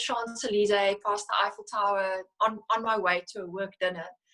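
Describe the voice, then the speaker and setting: The speaker has a South African accent. The intonation is fairly even. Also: woman. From South Africa, Cape Flats (Philippi, Cape Town). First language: Afrikaans. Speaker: financial services executive. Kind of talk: interview. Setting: video call. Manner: halting, frequent self-corrections.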